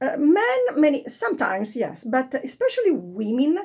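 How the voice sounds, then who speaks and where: A woman with an Italian accent. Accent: Italian accent, non-native English. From Italy. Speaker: fashion vlogger. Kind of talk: tutorial. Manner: halting, many fillers.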